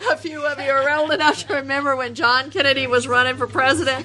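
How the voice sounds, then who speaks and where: There is noticeable background noise as a woman talks with an American accent. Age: 60s. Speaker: recovery speaker. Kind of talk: talk to a recovery meeting.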